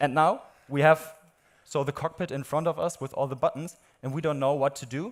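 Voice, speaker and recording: A man's fairly high voice with a German accent, fairly quick and fairly even in intonation. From Germany. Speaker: AI product specialist. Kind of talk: live product demo. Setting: stage with audience.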